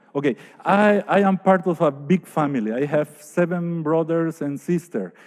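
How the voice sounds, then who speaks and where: A man speaks with a Spanish accent at a fairly high pitch, his pitch varying in an ordinary way against a quiet background. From Paraguay, Asunción. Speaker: architect. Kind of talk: lecture. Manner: halting.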